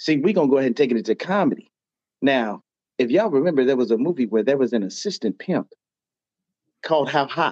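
In a dry, close recording with no echo, a man with a fairly high pitch and an animated tone talks very fast with lively intonation and very even loudness, yet leaves long, frequent pauses. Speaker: fan caller. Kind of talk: casual sports fan talk. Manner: animated, emphatic.

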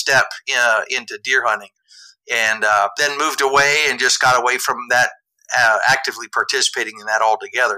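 A man with an American accent and an unremarkable speaking voice talks at a fairly quick pace, medium in pitch with ordinary pitch variation. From southeast Iowa. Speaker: coffee company co-owner. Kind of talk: casual interview chat.

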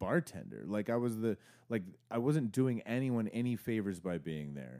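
A man's dark, mellow voice with an American accent, in a very clean recording over a silent background. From Arizona. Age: 30s. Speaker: podcast host and songwriter. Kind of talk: casual chat.

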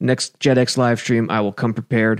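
This is a man's voice. The sound is dry and close, with no echo. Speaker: podcast host. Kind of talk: casual podcast chat about football. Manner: slow talker; self-deprecating, casual.

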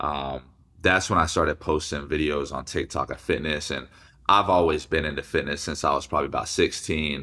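A man with an American accent, very deep, low pitch, vocal fry and a bright, sharp tone at a fairly quick pace, on a very clean recording with a silent background. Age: 20s. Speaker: fitness influencer and former college football player. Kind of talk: casual interview.

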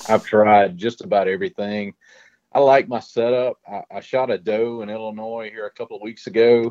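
Here a man talks at a medium pitch with a Louisiana accent. His pitch varies in an ordinary way. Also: moderate pace, big swings in loudness. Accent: Louisiana Southern. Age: 50s. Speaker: hog trap maker and bowhunter. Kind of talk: casual podcast interview.

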